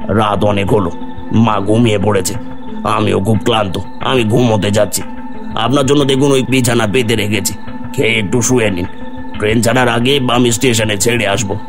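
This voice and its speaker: Loud music plays behind a man doing a cartoonish character voice. He keeps a medium pitch and a moderate pace. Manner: deferential, addresses listener as babu.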